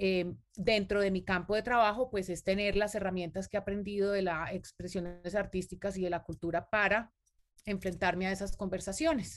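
This is a normal speaking voice, with fairly even intonation and a moderate pace. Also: woman, medium pitch for a woman. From Colombia. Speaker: cultural manager. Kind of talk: interview.

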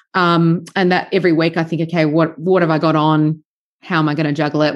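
A woman with an Australian accent, very deep and low in pitch, talking very fast in a flat monotone at very even loudness over a quiet background. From Sydney, Australia. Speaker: farmer and podcaster, former journalist. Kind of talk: casual interview.

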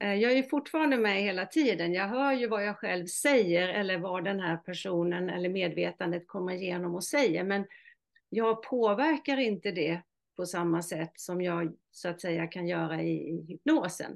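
A woman at a medium pitch with lively intonation and a moderate pace, over a quiet background. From Halland, Sweden. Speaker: hypnotherapist. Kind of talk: interview.

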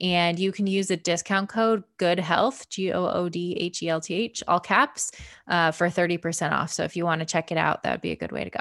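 Speaking at a fairly quick pace with a Midwestern American accent and fairly even intonation, the voice comes through on a very clean recording with a silent background. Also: woman, fairly low pitch for a woman. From Michigan, suburb of Detroit. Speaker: family physician and former CrossFit athlete. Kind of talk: interview.

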